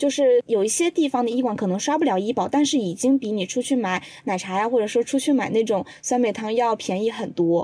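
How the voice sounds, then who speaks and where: Dry and close with no echo, a woman's high-pitched voice carries a dark, mellow tone. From Changzhou, Jiangsu. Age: 20s. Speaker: podcast assistant, video creator. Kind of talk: casual chat.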